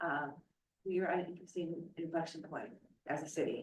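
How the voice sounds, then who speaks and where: Someone soft-spoken talks at a fairly quick pace. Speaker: budget committee member. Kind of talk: public meeting discussion.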